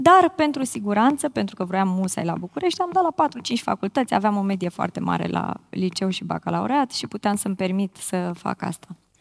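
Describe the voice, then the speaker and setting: A woman's moderately paced speech with hardly any pauses. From Bârlad, Romania; Romania. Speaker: influencer marketing specialist. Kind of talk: panel discussion. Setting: stage with audience. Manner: slightly awkward, shy. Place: stage. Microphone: headset.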